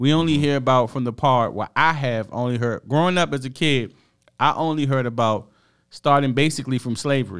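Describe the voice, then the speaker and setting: A man at a medium pitch and fairly quick pace, ordinary pitch variation, on a very clean recording with a silent background. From US. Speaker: podcast co-host. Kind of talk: casual chat.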